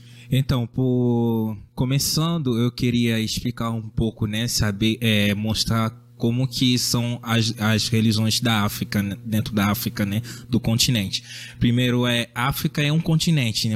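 The voice moves at a fairly slow pace. Its loudness is very even and its intonation fairly even. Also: man, medium pitch for a man. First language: French / Lingala (speaking Portuguese). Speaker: student and missionary. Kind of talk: casual chat. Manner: halting.

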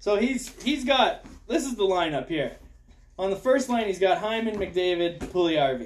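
At a moderate pace, a man speaks with a high pitch and very wide pitch swings. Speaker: hockey podcast host. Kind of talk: casual chat.

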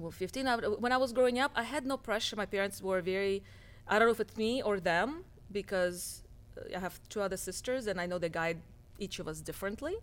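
A woman with a Russian accent talks at a fairly quick pace and medium pitch with ordinary pitch variation, on a very clean recording with a silent background. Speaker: cosmetic surgeon. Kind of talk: casual interview chat.

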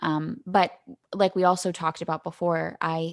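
A woman talks in a normal speaking voice, fairly low in pitch with fairly even intonation. The sound is dry and close, with no echo. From Canada. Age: 20s. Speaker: podcast host. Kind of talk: casual chat.

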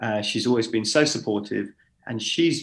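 A man with a London accent talks at a moderate pace. His fairly low voice carries some vocal fry. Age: 40s. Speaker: DJ and events founder. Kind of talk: casual chat.

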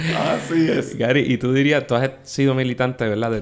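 A man's unremarkable speaking voice at medium pitch, with fairly even intonation. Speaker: podcast host. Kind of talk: casual interview.

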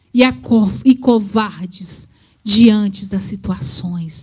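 Very slow and somewhat breathy, a woman speaks at a medium pitch in a dark, mellow tone with ordinary pitch variation. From rural Brazil. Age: 40s. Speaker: preacher. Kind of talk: sermon.

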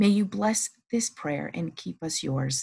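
A woman speaks at a fairly slow pace with a somewhat breathy voice. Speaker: prayer podcast host. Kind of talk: fervent devotional prayer, spoken aloud. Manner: earnest, reverent, fervent; rhythmic, repetitive petitions.

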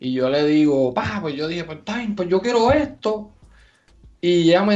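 Noticeable background noise fills the recording. The speaking pace is moderate. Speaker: podcast co-host. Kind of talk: casual chat.

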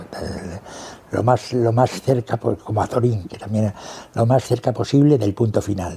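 Against noticeable background noise, a man speaks fairly slowly in a medium pitch with ordinary pitch variation. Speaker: veteran journalist. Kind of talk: interview reminiscence. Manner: halting, with frequent repetitions.

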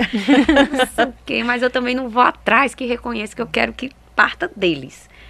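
A woman with a bright, sharp tone and vocal fry speaks at a moderate pace. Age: 30s. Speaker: women's football projects coordinator and fan group president. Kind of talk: interview. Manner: halting.

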